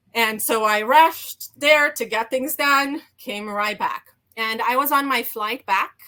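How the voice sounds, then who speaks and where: Speaking at a fairly slow pace, a woman has a bright, sharp tone, high pitch and ordinary pitch variation. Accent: slight Romanian. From Romania. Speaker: HR executive and burnout coach. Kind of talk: interview storytelling. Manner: hesitant, many fillers.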